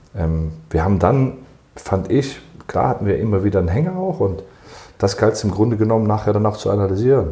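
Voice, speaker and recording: With audible room echo, a man talks at a fairly quick pace in a fairly low, somewhat breathy voice. His tone is dark and mellow, with ordinary pitch variation. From Germany. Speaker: football club sports director. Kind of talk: interview.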